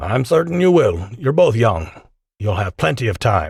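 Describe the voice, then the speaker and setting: Doing a put-on character voice, a man sounds raspy at a medium pitch with very wide pitch swings, in a very clean recording with a silent background. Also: moderate pace. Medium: read story. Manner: jovial.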